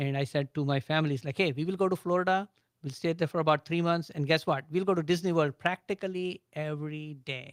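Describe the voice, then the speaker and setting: On a very clean recording with a silent background, a man with an Indian accent speaks at a fairly high pitch and a fairly quick pace. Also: dry, close sound with no echo. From India, Agra. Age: 60s. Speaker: business owner. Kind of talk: radio interview.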